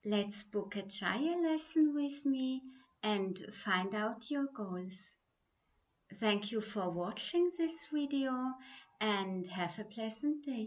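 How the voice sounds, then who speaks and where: Very slow speech with lively intonation comes in a Swiss German accent. The voice is somewhat breathy. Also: woman, fairly high pitch for a woman. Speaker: German language teacher. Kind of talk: self-introduction video. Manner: scripted, careful delivery.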